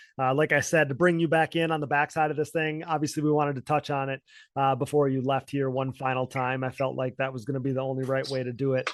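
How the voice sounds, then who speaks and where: With an Upper Midwest accent, a man of medium pitch talks at a very fast pace. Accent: Upper Midwest American. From Wisconsin. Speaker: podcast host, former ATV racer. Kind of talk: podcast interview. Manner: animated.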